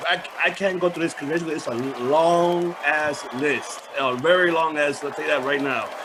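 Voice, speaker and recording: A fairly high-pitched man at a fairly slow pace, his intonation fairly even, with noticeable background noise. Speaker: podcast host. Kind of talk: podcast intro.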